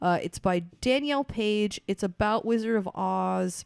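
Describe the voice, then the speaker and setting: A woman's fairly high voice, with ordinary pitch variation, comes through in a very clean recording with a silent background and a dry, close sound with no echo. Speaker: podcast guest. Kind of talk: casual chat.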